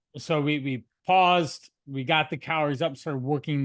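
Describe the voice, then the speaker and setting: A man's normal speaking voice, fairly high-pitched, at a moderate pace with fairly even intonation against a quiet background. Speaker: nutrition and fitness coach. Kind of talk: interview host talk on a video call.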